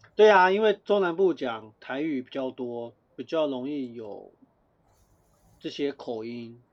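Speaking at a very slow pace with long, frequent pauses, a man uses lively intonation and a fairly high pitch, his loudness swinging widely. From Taiwan. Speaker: podcast co-host. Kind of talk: casual chat.

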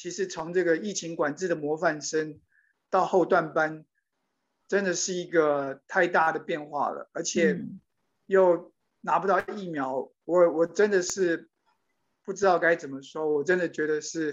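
Long, frequent pauses interrupt delivery that runs fairly slowly. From Taiwan. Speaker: immigrant, day care center worker. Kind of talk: interview. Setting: video call.

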